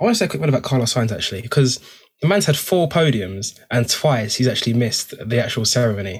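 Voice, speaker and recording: Somewhat breathy, a man at a medium pitch talks at a very fast pace with lively intonation. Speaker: motorsport podcast co-host. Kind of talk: casual banter. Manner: animated.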